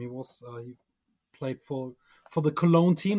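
A man in a German accent, fairly high-pitched, at a moderate pace. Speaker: fan podcast host and interviewer. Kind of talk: interview with live translation. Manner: halting, many fillers.

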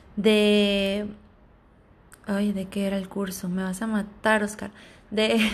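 Amid audible room echo, a woman speaks very slowly in a monotone, flat way, with long, frequent pauses. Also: medium pitch for a woman. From Sonora, Mexico. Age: 20s. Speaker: flight attendant. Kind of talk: casual monologue. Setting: home recording. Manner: halting.

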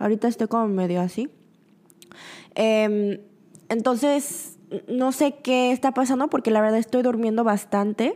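Her dark, mellow voice sits at a fairly high pitch as the woman speaks at a fairly slow pace with long, frequent pauses and very even loudness. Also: ordinary pitch variation. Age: 20s. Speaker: podcast host. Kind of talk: casual monologue. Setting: studio.

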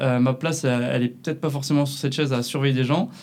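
With a fairly high pitch and ordinary pitch variation, a man speaks very fast. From southern France, near Perpignan. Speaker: photographer and videographer, agency co-founder. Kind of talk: casual interview. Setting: in person, La Rochelle.

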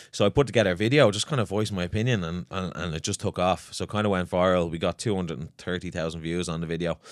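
Speaking very fast with hardly any pauses, a man with a very deep, low pitch is heard on a very clean recording against a silent background. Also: ordinary pitch variation, dry, close sound with no echo. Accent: Dublin. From Ireland, Swords, north County Dublin. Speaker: personal trainer and gym owner. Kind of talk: casual chat.

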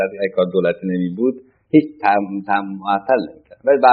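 Fairly low in pitch, a man speaks with fairly even intonation. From Iran, Tehran. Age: 60s. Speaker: former central banker. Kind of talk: oral history interview. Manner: halting.

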